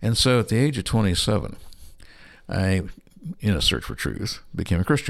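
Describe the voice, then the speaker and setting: A man speaks at a moderate pace with lively intonation and vocal fry. His speech has long, frequent pauses. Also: fairly low pitch for a man, very clean recording, silent background. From US West Coast (Berkeley, California). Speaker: creationist scientist and missionary. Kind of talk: interview. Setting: studio.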